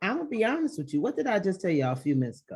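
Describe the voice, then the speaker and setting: Loud and animated in tone, a woman speaks. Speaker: virtual assistant. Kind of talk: interview.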